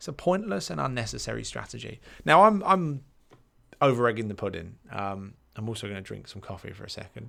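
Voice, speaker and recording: On a very clean recording with a silent background, a man with a British accent speaks at a fairly quick pace with big swings in loudness. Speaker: life coach podcaster. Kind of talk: solo podcast monologue. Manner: fast; casual, hesitant with fillers.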